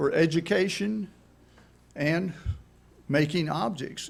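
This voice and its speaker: A man at a very slow pace, in a very clean recording with a silent background. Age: 80s+. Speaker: member of the public at county meeting. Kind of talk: public comment presentation. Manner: halting.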